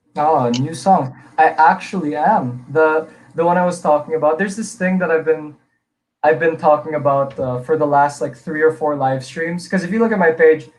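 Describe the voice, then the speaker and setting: This man speaks with an American accent in a fairly high pitch. His pitch varies in an ordinary way, and his pace is moderate. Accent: sounds American, even in Filipino. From Philippines, from age eight; born in Illinois, US. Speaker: singer and songwriter. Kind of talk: live-streamed interview. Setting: live stream.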